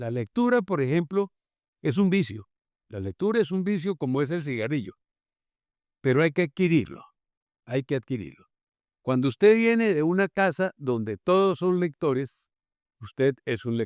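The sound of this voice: A man with a Santander accent, fairly high in pitch, with big pitch swings and long, frequent pauses, in a very clean recording with a silent background and a dry, close sound with no echo. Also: moderate pace, slightly mellow tone. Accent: Colombian, from Santander.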